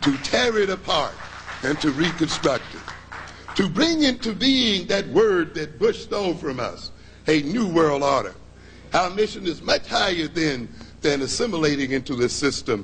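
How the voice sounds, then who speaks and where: With an American accent, the speaker talks at a fairly slow pace amid noticeable background noise and audible room echo. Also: man, high pitch for a man, lively intonation. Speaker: psychologist and lecturer. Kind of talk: lecture.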